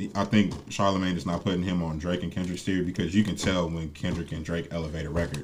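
The speech moves at a very fast pace. Its intonation is fairly even. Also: man. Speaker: podcast co-host. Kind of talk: casual banter.

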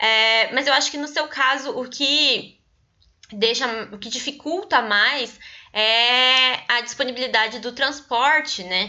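A woman speaks at a very slow pace. Her voice is high, with ordinary pitch variation. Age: young. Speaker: anthropologist and podcast host. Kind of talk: interview.

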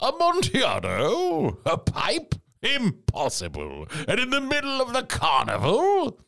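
Very even in loudness, a man speaks at a fairly slow pace in an extremely high pitch. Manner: eager, proud, boastful.

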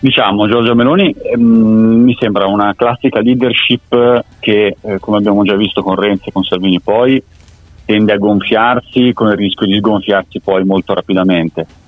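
Over noticeable background noise, a man with a fairly low pitch speaks with fairly even intonation. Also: moderate pace. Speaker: polling expert. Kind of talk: interview.

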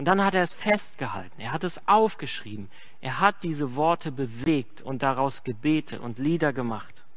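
A man with a plain, everyday voice, a fairly high pitch and lively intonation. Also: moderate pace. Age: 30s. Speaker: pastor. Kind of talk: sermon.

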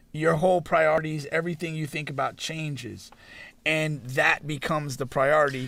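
Over a silent background in a very clean recording, a man with a bright, sharp tone and fairly high pitch speaks at a moderate pace with fairly even intonation. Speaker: podcast host. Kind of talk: casual banter podcast chat.

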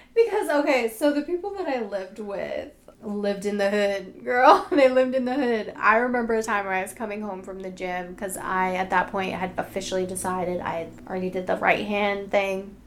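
Hardly pausing, a woman with an American accent talks at a fairly quick pace, her medium pitch showing ordinary variation over noticeable background noise. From Boston. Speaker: podcast co-host. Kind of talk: casual chat.

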